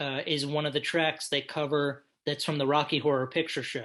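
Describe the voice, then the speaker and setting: Against a quiet background, the speaker uses an American accent at a moderate pace. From United States. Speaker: podcast co-host, music reviewer. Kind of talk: casual album review chat.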